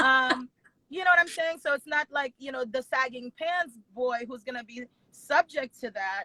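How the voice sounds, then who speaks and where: A raised, projected voice with a bright, sharp tone carries ordinary pitch variation at a moderate pace, recorded with a dry, close sound and no echo. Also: woman, high pitch for a woman. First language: not English. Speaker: wedding planner and business owner. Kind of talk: interview conversation.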